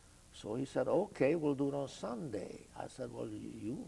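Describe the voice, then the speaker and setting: Speaking with a Hungarian accent at a moderate pace, a man uses a medium pitch that swings very widely. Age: 80s+. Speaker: Holocaust survivor. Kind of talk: oral history interview. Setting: video studio. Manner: halting, many fillers.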